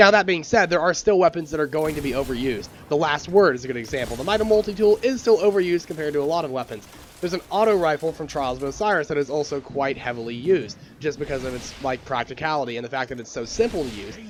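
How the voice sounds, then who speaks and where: Over noticeable background noise, a man speaks with lively intonation. His pace is very fast. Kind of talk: gaming commentary to camera.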